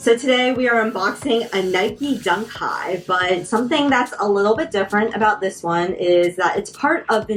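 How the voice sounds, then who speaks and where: A woman with an American accent speaks at medium pitch and a moderate pace, with ordinary pitch variation, against noticeable background noise. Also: hardly any pauses. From Washington DC region. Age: 30s. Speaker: sneaker content creator. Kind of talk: product unboxing talk to camera.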